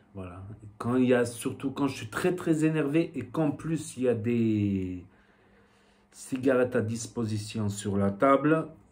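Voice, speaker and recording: A man talks at a very slow pace with a southwestern French accent. His pitch is medium and his intonation is lively. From southwestern France. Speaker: vape youtuber. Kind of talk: casual vlog talk. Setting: home shop with shelves. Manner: hesitant, many fillers.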